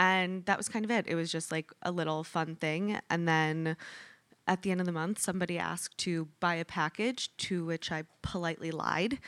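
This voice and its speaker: A woman with an American accent at a fairly low pitch and a moderate pace, on a very clean recording with a silent background and a dry, close sound with no echo. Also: fairly even intonation. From US Midwest, Michigan. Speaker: yoga studio founder and CEO. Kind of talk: onstage interview. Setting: stage with live audience.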